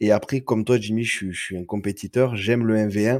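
Talking at a fairly quick pace, a man with a southern French accent keeps his intonation fairly even. The recording is very clean with a silent background and a dry, close sound with no echo. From southern France, Perpignan. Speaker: card game community organizer. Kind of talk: casual chat.

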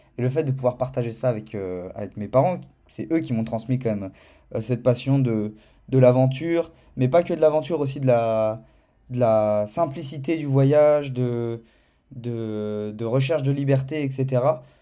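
A man talks at a fairly slow pace with a medium pitch and a dark, mellow tone. The recording is very clean, with a silent background. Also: ordinary pitch variation. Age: 20s. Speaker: video content creator. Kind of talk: casual testimony. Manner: animated.

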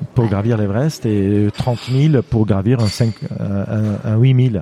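His tone dark and mellow, a man speaks at a fairly low pitch with ordinary pitch variation. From Lebanon. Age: 50s. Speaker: mountaineer and endurance athlete. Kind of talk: interview storytelling. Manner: halting, many hesitations.

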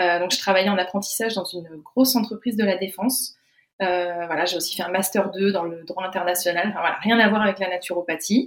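Fairly quick and fairly even in intonation, a woman talks in an unremarkable speaking voice. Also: medium pitch for a woman. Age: 20s. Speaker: naturopathy student. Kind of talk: interview.

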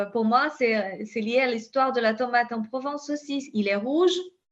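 A woman speaks in a high pitch with a Brazilian accent. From southern Brazil (Pampa). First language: Portuguese (speaking French). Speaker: scientist and company founder. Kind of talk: interview. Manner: halting, many repetitions and fillers.

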